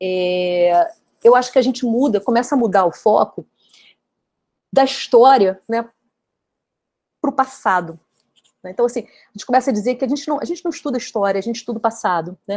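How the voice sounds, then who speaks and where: With lively intonation, a woman speaks at a fairly quick pace but leaves long, frequent pauses. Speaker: professor. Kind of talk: academic lecture. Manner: fast; hesitant, many fillers.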